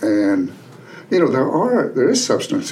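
An American-accented male voice, with audible room echo and noticeable background noise. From Western North Carolina mountains (Canton). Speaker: retired sociology professor and author. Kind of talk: casual interview.

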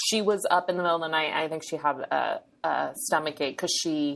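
An unremarkable speaking voice, a woman's with an American accent, fairly low in pitch, ordinary in pitch variation, at a fairly quick pace. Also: very clean recording, silent background. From New Hampshire, US. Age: 30s. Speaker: dietitian and eating disorder specialist. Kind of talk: casual interview.

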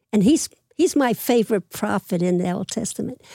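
A woman with a Philadelphia accent speaks at a moderate pace, her fairly high voice carrying a dark, mellow tone. The sound is dry and close with no echo, in a very clean recording with a silent background. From Philadelphia (Manayunk), Pennsylvania. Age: 80s+. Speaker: retired babysitter and mother. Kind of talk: casual interview. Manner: energetic.

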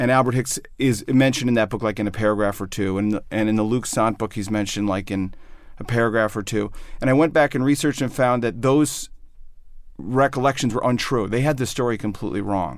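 Here a man with an American accent has an unremarkable speaking voice, medium in pitch with ordinary pitch variation. He talks at a fairly quick pace in a very clean recording with a silent background. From US Midwest, Chicago suburbs. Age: 50s. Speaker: journalist and author. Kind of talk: interview conversation.

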